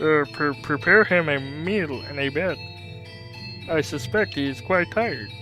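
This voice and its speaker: A put-on character voice at a low-to-middle pitch, moderate pace, clear music playing behind it. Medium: game stream. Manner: low and stiff.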